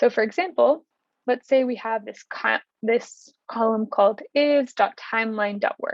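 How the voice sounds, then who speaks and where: With an unremarkable speaking voice, a woman talks at a fairly slow pace, her fairly high pitch showing ordinary variation. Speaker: instructor. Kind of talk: tutorial.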